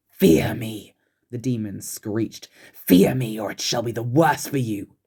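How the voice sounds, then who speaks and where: Using a shrill, put-on character voice, a man speaks at a moderate pace in a medium pitch. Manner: screeching, threatening.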